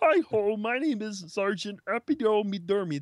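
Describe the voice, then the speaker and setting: A female-sounding voice performs a put-on character voice at a medium pitch for a woman. The pace is moderate. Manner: cheery, goofy.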